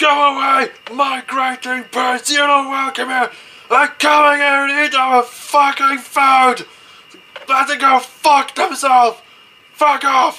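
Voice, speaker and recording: A cartoonish character voice shouts at a high pitch. The pace is fairly slow. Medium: puppet show. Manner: shouting, enraged.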